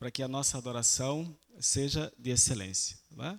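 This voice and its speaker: A man with a Northeastern Brazilian accent speaks at medium pitch and a moderate pace. The recording is very clean, with a silent background. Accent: Northeastern Brazilian (Alagoas). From Brazil, Alagoas (Maceió). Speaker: lay preacher. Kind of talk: sermon. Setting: church.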